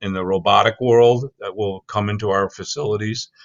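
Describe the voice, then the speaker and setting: The man's pitch is fairly low, and his intonation fairly even. He speaks at a moderate pace. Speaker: technology company CEO. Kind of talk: casual interview. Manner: loud; blunt, matter-of-fact.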